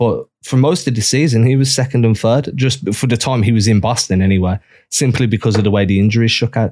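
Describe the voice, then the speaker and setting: With an English accent, a man talks at a very fast pace in a medium pitch for a man. His dark, mellow tone holds very even loudness and ordinary pitch variation. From England. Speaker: basketball blogger. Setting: remote call.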